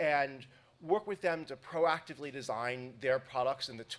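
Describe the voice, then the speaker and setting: At a moderate pace, the voice shows ordinary pitch variation. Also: man. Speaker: conference keynote speaker. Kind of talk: lecture. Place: hall. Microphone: podium.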